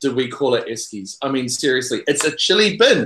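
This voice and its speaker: A man with a New Zealand accent talks at a moderate pace in a fairly high voice with a bright, sharp tone. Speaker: podcaster. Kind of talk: casual chat. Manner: animated.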